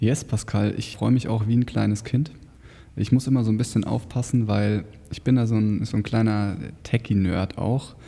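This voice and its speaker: A man speaks at a moderate pace with a fairly low pitch and a dark, mellow tone. His intonation stays fairly even. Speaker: podcast co-host, online marketing entrepreneur. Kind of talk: casual chat.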